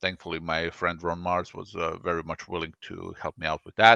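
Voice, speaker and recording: A man speaks with a very deep, low pitch and a bright, sharp tone. The background is quiet. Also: dry, close sound with no echo. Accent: Croatian. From Croatia. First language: Croatian. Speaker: comic artist and writer. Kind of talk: interview.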